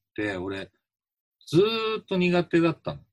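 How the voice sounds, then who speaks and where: A man's somewhat breathy voice sits at a fairly high pitch with very wide pitch swings. He speaks at a moderate pace, and the sound is dry and close with no echo. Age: 50s. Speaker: musician and podcast co-host. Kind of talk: casual chat.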